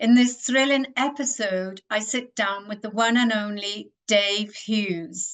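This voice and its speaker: A woman with a plain, everyday voice speaks at a fairly slow pace with ordinary pitch variation. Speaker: podcast host. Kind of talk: podcast intro narration.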